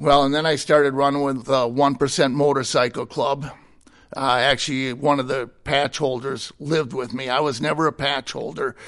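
Against a quiet background, a man with an American accent talks at a moderate pace, his fairly high pitch held in monotone, flat intonation. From Minnesota, US Midwest. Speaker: ministry director, former prisoner. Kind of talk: testimony.

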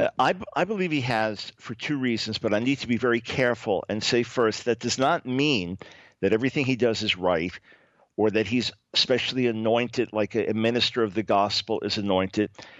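Here a man talks at a fairly quick pace in a normal speaking voice. His pitch is medium, with ordinary pitch variation. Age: 60s. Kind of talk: radio interview.

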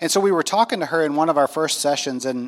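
Speaking with an American accent at a fairly quick pace, this is a plain, everyday voice with ordinary pitch variation. The recording is very clean, with a silent background. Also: man. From US South, North Carolina. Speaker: pastor. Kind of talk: testimony. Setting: stage with audience.

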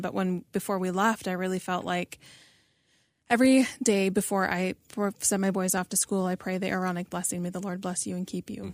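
In a very clean recording with a silent background, a woman talks at a fairly quick pace in an ordinary speaking voice, medium in pitch with fairly even intonation. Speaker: podcast host. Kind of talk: casual interview chat.

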